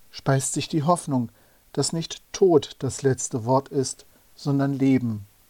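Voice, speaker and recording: At a fairly slow pace, a man speaks with a fairly high pitch in a dry, close sound with no echo. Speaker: preacher. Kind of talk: sermon. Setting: church. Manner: formal; measured, earnest.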